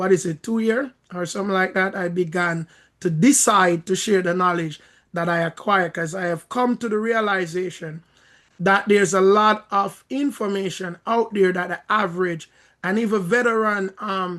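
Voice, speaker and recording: A man's high, bright, sharp voice in a Jamaican accent, at a moderate pace with fairly even intonation. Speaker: credit repair coach and minister. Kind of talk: video call Q&A, teaching. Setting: video call.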